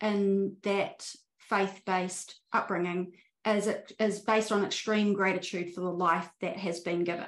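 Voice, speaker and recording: Very slowly, a woman talks. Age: 40s. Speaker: spiritual life coach. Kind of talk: interview conversation. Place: home room. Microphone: video call.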